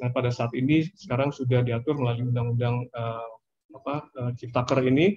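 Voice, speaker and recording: A man speaks with a somewhat breathy, medium-pitched voice. His intonation stays fairly even. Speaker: government finance official; presenter. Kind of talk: webinar presentation. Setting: video call. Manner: hesitant, many fillers. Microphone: video call.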